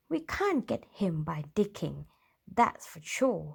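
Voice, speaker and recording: A put-on character voice, growling at a middle pitch and a fairly slow pace, on a very clean recording with a silent background. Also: female-sounding voice. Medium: read story.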